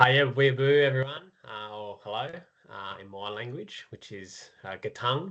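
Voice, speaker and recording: In an Australian accent, a man with medium pitch speaks at a fairly slow pace with lively intonation and big swings in loudness. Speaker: education business co-founder, former teacher. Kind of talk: presentation at supplier event.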